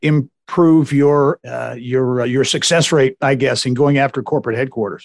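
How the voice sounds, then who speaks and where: In a plain, everyday voice, a man speaks at a moderate pace and a medium pitch with fairly even intonation and hardly any pauses. The sound is dry and close with no echo, and the background is quiet. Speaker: podcast host. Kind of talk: interview, host intro.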